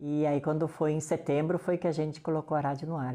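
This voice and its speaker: At a fairly quick pace, a woman talks in a very deep, low pitch with a dark, mellow tone. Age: 60s. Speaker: community radio coordinator. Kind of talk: interview.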